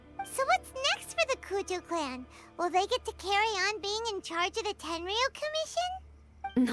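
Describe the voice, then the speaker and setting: A cartoonish character voice speaks at an extremely high pitch and a moderate pace. Music plays clearly in the background. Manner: friendly, upbeat.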